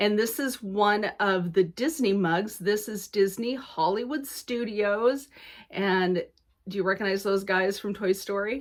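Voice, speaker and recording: Recorded very cleanly against a silent background, a woman talks at a fairly slow pace in an animated tone with a medium pitch. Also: ordinary pitch variation. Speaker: cross-stitch video blogger. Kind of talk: casual vlog chat.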